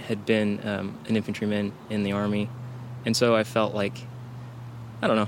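The man speaks in a monotone, flat way. Noticeable background noise runs underneath. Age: 30s. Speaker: war veteran. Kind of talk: casual chat. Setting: outdoors.

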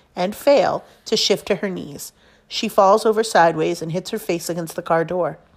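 At a moderate pace, a woman speaks at a medium pitch with ordinary pitch variation in a very clean recording with a silent background. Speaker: teacher reading a novel aloud. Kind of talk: casual enthusiastic book recommendation. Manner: expressive, narrative reading that voices dialogue with emotion, fairly steady pacing; enthusiastic and warm when recommending the book.

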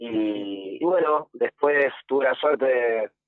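A man talks in a fairly high pitch. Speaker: youth football coach. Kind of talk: radio interview. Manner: halting.

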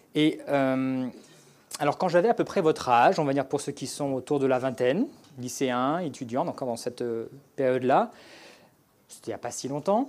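A man's fairly high voice at a moderate pace, with ordinary pitch variation and long, frequent pauses, on a very clean recording with a silent background. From France. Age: 30s. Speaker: former fighter pilot. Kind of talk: testimony. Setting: church.

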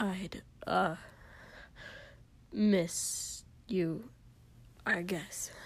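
Gruff and put-on, a woman's character voice has a medium pitch. Its pitch variation is ordinary. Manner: surly, grudging.

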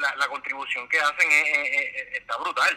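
A man with a Puerto Rican accent at a fairly slow pace. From Puerto Rico. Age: 40s. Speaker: civil engineer. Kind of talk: casual interview. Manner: halting, many repetitions.

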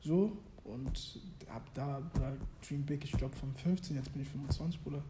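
A man talks at a very slow pace, his pitch fairly high and his tone dark and mellow. His pitch varies in an ordinary way, and the room echo is audible. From Germany, Hannover. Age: 20s. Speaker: former youth footballer and clothing brand founder. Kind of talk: casual interview chat.

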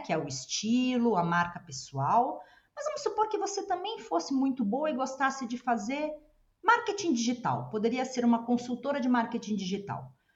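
A woman with a high pitch talks at a moderate pace. Her pitch swings very widely. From Brazil. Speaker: podcast co-host. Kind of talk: podcast interview.

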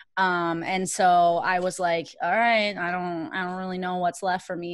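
With an American accent, a woman speaks at a medium pitch and moderate pace in monotone, flat intonation, with hardly any pauses, in a very clean recording with a silent background. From Minnesota, Richfield. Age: 30s. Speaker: competitive weightlifter. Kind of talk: interview.

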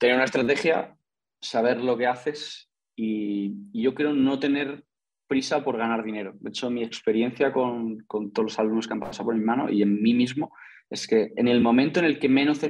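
A man's medium-pitched, ordinary speaking voice, its pitch varying in an ordinary way. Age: 20s. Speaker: investor and entrepreneur. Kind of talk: interview.

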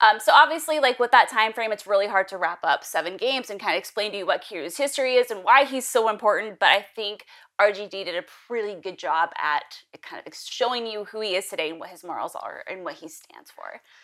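A woman at a fairly quick pace, with lively intonation, big swings in loudness and hardly any pauses. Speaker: gaming podcaster. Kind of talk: casual chat about games.

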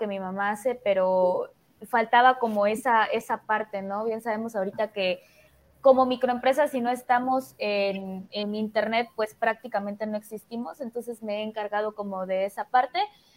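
At a moderate pace, a woman speaks in an unremarkable speaking voice, pitched fairly high, with fairly even intonation. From Mexico, Chiapas (Tuxtla Gutiérrez). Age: 20s. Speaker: marketer and entrepreneur. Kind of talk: casual chat.

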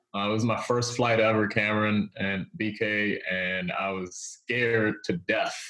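A man speaks fairly slowly with hardly any pauses, in an unremarkable speaking voice. His pitch is fairly low and his intonation fairly even. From Washington DC. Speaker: economic development executive and author. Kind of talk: casual interview.

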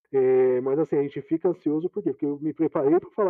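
Here a man talks at a very fast pace. His fairly high voice has ordinary pitch variation. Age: 30s. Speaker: IT manager. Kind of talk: casual interview chat.

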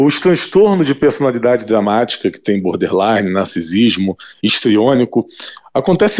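A man with a normal speaking voice talks at medium pitch and a moderate pace, his intonation lively. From Brazil, Rio de Janeiro. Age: 40s. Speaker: neuroscientist. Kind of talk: radio interview. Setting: phone call.

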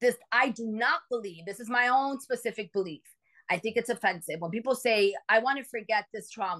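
With an American accent, a woman talks at a fairly quick pace in an animated, passionate tone, her fairly high pitch showing ordinary variation against a quiet background. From New York City, Dominican parents. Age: 40s. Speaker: therapist and coach. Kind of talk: casual interview chat. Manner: animated, passionate, talks with hands.

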